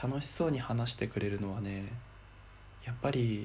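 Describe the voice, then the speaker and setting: A somewhat breathy man at medium pitch, with fairly even intonation and a moderate pace. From Miyagi, Japan. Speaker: podcaster. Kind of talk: personal monologue.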